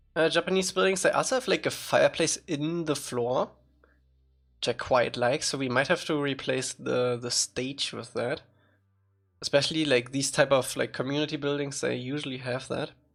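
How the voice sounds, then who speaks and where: Man's voice at a fairly high pitch and moderate pace, with ordinary pitch variation and music in the background. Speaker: streamer building a fan game. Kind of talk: casual livestream chat. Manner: halting, many fillers.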